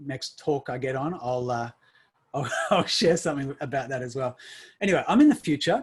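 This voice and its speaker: With an Australian accent, a man talks at a fairly quick pace in a fairly high, somewhat breathy voice. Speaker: summit speaker. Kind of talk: online summit talk. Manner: animated.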